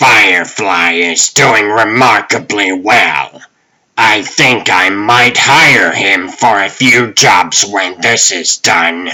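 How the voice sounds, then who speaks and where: A man uses a put-on character voice, fairly low in pitch with ordinary pitch variation. He speaks at a very slow pace with very even loudness. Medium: dub. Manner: smug, genteel.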